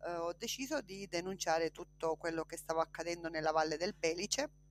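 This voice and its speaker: A woman with a plain, everyday voice, fairly low pitch and fairly even intonation. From Sicily, Trapani province. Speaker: politician and justice witness. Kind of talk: interview. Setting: video call.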